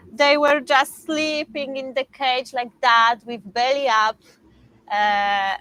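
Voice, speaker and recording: Delivery is very slow, with big swings in loudness. The tone is bright and sharp, with ordinary pitch variation. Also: woman. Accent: Polish. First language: Polish. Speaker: dog breeder. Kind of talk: live stream Q&A. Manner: halting, many fillers.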